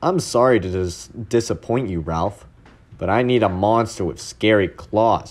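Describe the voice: The plain reading aloud carries ordinary pitch variation.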